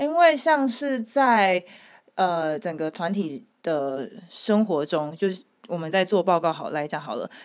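A woman at a medium pitch, fairly slow pace, and very wide pitch swings, in a very clean recording with a silent background. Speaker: returned overseas student. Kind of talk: casual chat.

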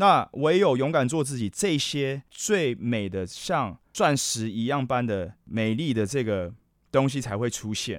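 Big swings in loudness and lively intonation fill a man's medium-pitched speech at a fairly slow pace, in a very clean recording with a silent background. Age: 40s. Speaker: podcast host. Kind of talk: casual solo podcast monologue. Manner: animated.

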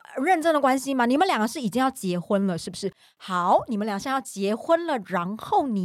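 High-pitched female voice with very wide pitch swings at a moderate pace. The sound is dry and close with no echo, on a very clean recording with a silent background. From Taiwan. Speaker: podcast co-host. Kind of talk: casual chat.

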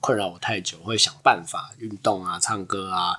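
A man with a bright, sharp tone. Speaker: podcast co-host. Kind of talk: casual chat.

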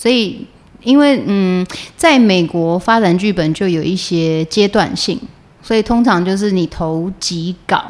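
A woman talks at a fairly slow pace in a fairly low pitch, with ordinary pitch variation. It is an ordinary speaking voice. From Taiwan. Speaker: actress. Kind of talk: interview, casual chat.

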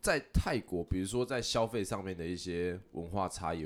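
On a very clean recording with a silent background, a man speaks at a moderate pace in a very deep, low pitch with ordinary pitch variation. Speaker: podcast host. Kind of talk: casual chat.

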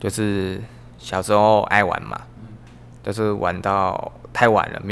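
Very deep and low in pitch, a man speaks at a very slow pace with a Vietnamese accent and ordinary pitch variation. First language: Vietnamese (speaking Chinese). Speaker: podcast guest. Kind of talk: casual chat.

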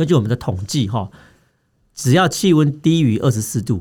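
Somewhat breathy, dark and mellow, the voice moves at a fairly quick pace with very wide pitch swings. The recording is very clean, with a silent background. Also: man. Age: 40s. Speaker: doctor, health podcast host. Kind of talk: health education chat.

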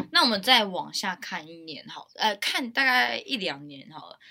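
A woman with a Taiwanese accent speaks at a fairly slow pace, her pitch swinging very widely. Her tone is bright and sharp, and the recording is very clean with a silent background. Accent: Taiwanese Mandarin. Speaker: university student podcast host. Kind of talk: casual chat.

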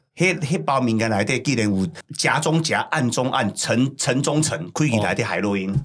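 With a Taiwanese accent, a man talks in an animated tone at a medium pitch, his intonation lively and his loudness very even. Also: moderate pace. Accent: Taiwanese Mandarin with Hokkien. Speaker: podcast host, former prisoner. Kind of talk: casual chat.

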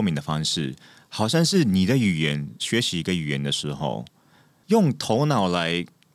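A man's very deep, low voice with very wide pitch swings, on a very clean recording against a silent background. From Japan. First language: Japanese (speaking Chinese). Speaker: actor and author. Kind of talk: casual interview chat.

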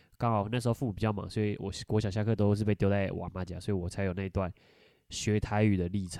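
Speaking at a very fast pace in a coastal Taichung accent, a man uses a dark, mellow tone at a fairly low pitch with monotone, flat intonation, in a very clean recording with a silent background. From Taiwan, Taichung. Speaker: podcast host. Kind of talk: casual chat.

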